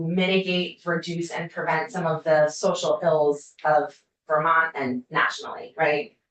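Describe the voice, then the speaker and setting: An ordinary speaking voice from a woman, fairly low in pitch, fairly slow, with fairly even intonation. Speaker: university community schools researcher. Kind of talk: legislative committee testimony.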